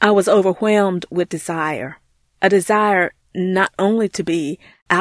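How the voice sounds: A natural reading voice with fairly even intonation comes through against a quiet background.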